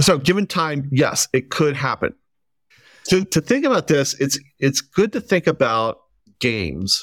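This man talks at a fairly high pitch and a fairly slow pace, with vocal fry, lively intonation, and long, frequent pauses, in a very clean recording with a silent background and a dry, close sound with no echo. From Kentucky, near Cincinnati. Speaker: philosophy professor. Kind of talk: interview. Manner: halting, many fillers.

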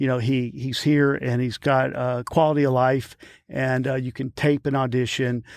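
In a Louisiana accent, a man speaks at a moderate pace with monotone, flat intonation, in a dry, close sound with no echo on a very clean recording with a silent background. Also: medium pitch for a man. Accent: Louisiana Southern US. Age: 50s. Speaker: actor and stuntman. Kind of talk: casual interview. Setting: studio.

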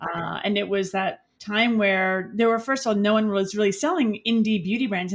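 On a very clean recording with a silent background, a woman speaks in a medium pitch with ordinary pitch variation and a normal speaking voice. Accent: American. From New York City, the Bronx. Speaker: beauty entrepreneur. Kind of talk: interview.

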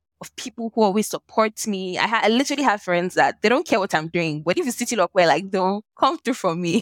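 A woman speaks with lively intonation, the sound dry and close with no echo. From Nigeria. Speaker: lawyer and social impact entrepreneur. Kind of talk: interview conversation. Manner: animated.

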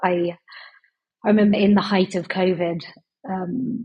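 Delivered at a fairly slow pace, the voice has little pitch movement and a slightly husky edge. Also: woman, fairly low pitch for a woman.

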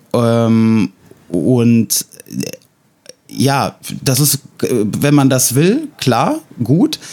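A man with a medium-pitched voice speaks very slowly, with ordinary pitch variation, long and frequent pauses, and very even loudness, in a dry, close sound with no echo. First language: Russian (speaking German). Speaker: podcast host. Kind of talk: casual chat. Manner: hesitant, many fillers.

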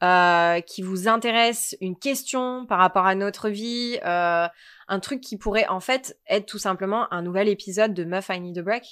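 The recording is very clean, with a silent background. A woman of medium pitch speaks at a fairly slow pace with ordinary pitch variation. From southern France, Provence near Marseille. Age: 20s. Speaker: podcast co-host. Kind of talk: casual chat.

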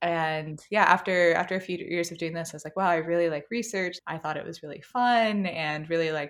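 A woman with an American accent talks at a fairly quick pace, with a fairly low pitch and ordinary pitch variation. It's an unremarkable speaking voice in a very clean recording with a silent background. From US South, North Carolina (Apex, Raleigh area). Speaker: psychology PhD, tech researcher. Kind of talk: interview conversation. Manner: casual, filler-heavy with frequent 'like'.

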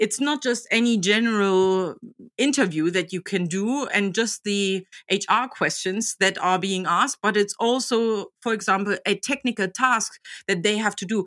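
With a German accent, a woman talks at medium pitch and a moderate pace with ordinary pitch variation, in a dry, close sound with no echo on a very clean recording with a silent background. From Germany, Magdeburg. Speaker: job coach. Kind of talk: interview. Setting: podcast. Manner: animated.

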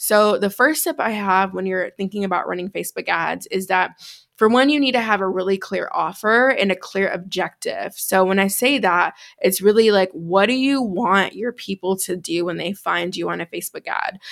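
A woman with an American accent speaks at a moderate pace and medium pitch, using an ordinary speaking voice with ordinary pitch variation. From US Midwest, Chicago. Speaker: business coach. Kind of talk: tutorial; interview conversation.

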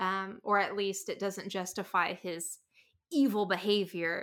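A woman with an American accent, medium pitch, a bright, sharp tone and monotone, flat intonation, in a very clean recording with a silent background. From rural US, small town. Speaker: comic artist and podcaster. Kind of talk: casual chat.

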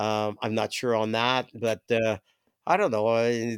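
At medium pitch, a man talks at a fairly slow pace. The sound is dry and close with no echo, in a very clean recording with a silent background. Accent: Ontario. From Toronto, Canada. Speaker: musician, former bass player. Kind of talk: casual chat. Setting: host's basement. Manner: halting, many fillers.

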